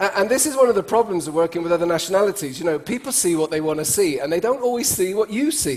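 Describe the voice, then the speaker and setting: A man with an English accent speaks in an animated tone at a high pitch, with very wide pitch swings. He talks very fast with hardly any pauses over noticeable background noise. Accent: speaks English like an English speaker. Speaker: cross-cultural speaker and trainer. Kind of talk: conference talk to an audience. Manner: conversational, animated.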